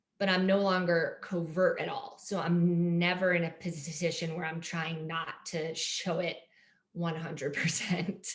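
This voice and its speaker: A woman speaks at a fairly slow pace in a flat monotone. The room echo is audible. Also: fairly low pitch for a woman. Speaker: art therapist and stay-at-home mom, person who stutters. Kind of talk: interview. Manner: stuttering with repetitions and blocks; hesitant, many fillers.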